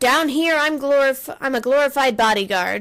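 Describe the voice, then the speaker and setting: A woman performs a put-on character voice. Her pitch sits high. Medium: game stream. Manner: gruff, sardonic.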